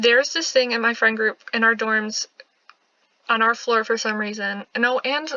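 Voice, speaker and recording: A woman's fairly high voice with fairly even intonation. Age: 20s. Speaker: gaming youtuber. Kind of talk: casual let's play chat. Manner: fast.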